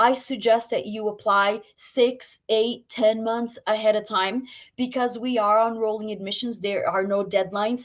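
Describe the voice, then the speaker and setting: A woman with an ordinary speaking voice, fairly high pitch, fairly even intonation, a fairly slow pace and hardly any pauses. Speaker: medical school admissions representative. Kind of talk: webinar presentation.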